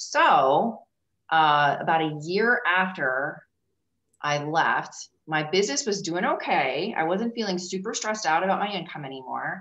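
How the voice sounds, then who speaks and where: A woman's fairly low voice with lively intonation at a fairly slow pace. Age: 40s. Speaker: leadership coach. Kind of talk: casual interview chat. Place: home room. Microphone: video call.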